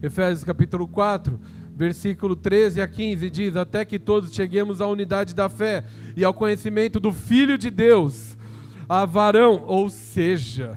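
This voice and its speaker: A man with a high pitch and lively intonation talks at a fairly slow pace. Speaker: church elder preaching. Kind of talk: sermon. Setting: church with congregation. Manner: animated, call-and-response.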